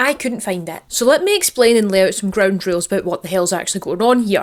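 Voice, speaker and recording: A woman speaks in a Scottish accent. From Scotland. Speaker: archaeologist. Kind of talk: casual history talk to camera. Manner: informal, humorous.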